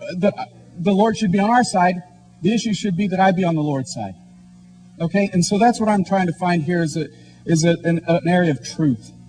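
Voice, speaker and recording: Against music in the background, a man with an American accent and a high pitch talks at a fairly quick pace with ordinary pitch variation, leaving long, frequent pauses. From Kansas, US Midwest. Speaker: debater. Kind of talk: debate speech.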